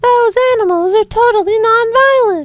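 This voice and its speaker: A woman puts on a squeaky character voice with an extremely high pitch. She keeps a moderate pace and ordinary pitch variation. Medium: audio drama.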